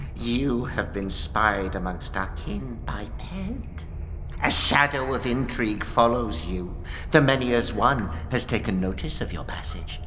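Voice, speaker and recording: A put-on character voice growls at a low pitch and a fairly slow pace. Loud background noise runs behind it. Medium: audio drama. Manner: twitchy, contemptuous, repeats words.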